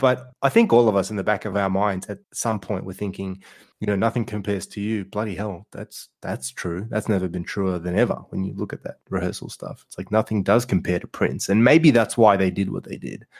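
A man with an Australian accent, fairly low-pitched, at a fairly quick pace with hardly any pauses, on a very clean recording with a silent background. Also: ordinary pitch variation. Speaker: podcast host. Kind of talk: casual chat; storytelling. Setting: virtual round table.

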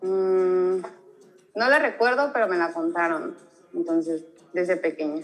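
A woman's medium-pitched voice, fairly slow with long, frequent pauses, lively intonation and very even loudness. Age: 20s. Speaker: guest. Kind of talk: casual chat.

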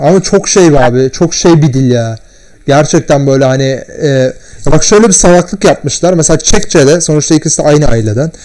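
A man's fairly high, an ordinary speaking voice, at a moderate pace with ordinary pitch variation and very even loudness. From Turkey. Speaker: podcast guest. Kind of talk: casual chat. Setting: at home, in his room.

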